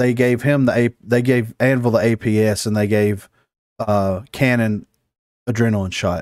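In a very clean recording with a silent background and a dry, close sound with no echo, the voice keeps very even loudness and fairly even intonation at a moderate pace with a Southern US accent. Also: man, medium pitch for a man. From US South. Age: 30s. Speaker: podcast host. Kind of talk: casual chat.

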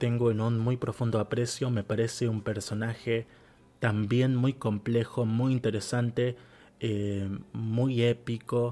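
Dark and mellow in tone, a man at medium pitch speaks at a fairly slow pace with fairly even intonation and a Rioplatense accent. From Argentina. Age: 20s. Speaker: podcast host. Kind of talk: solo podcast monologue. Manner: hesitant, many fillers.

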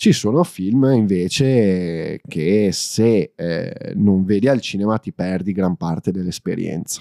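On a very clean recording with a silent background, a man speaks very slowly. His fairly low voice is dark and mellow, with lively intonation. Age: 20s. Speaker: film enthusiast. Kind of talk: casual chat. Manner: halting.

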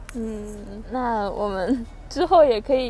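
A woman's fairly high-pitched voice. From Beijing, northern China. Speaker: podcast host. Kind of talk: casual chat.

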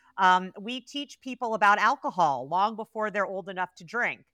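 Bright and sharp in tone, a voice with an American accent moves at a fairly quick pace in a very clean recording with a silent background and a dry, close sound with no echo. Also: woman. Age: 40s. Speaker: cannabis researcher and expert. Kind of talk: interview conversation.

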